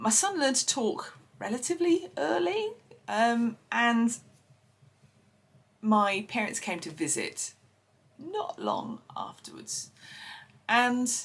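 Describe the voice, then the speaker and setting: With an Essex accent, a woman speaks at a very slow pace with long, frequent pauses. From Essex, England. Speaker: podcast host. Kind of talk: personal storytelling. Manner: hesitant, many fillers.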